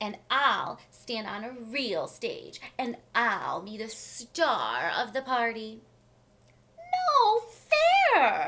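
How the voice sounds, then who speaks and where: A put-on character voice unfolds at a very slow pace. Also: female-sounding voice, high pitch for a woman. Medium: read story. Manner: boastful, squabbling.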